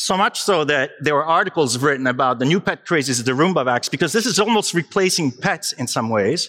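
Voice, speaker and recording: A man's fairly high voice, bright and sharp in tone, with lively intonation, an animated delivery, very even loudness and a fairly quick pace. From Italy, Naples. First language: Italian. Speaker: digital health consultant. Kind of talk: conference talk. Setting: stage with audience.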